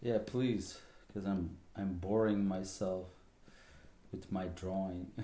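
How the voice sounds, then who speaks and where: In a Flemish accent, a man speaks at a very slow pace with long, frequent pauses, very deep, low pitch, a dark, mellow tone, monotone, flat intonation and audible room echo. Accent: Flemish Dutch accent in English. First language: Dutch. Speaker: artist streamer. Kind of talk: casual live stream chat. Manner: halting, many fillers.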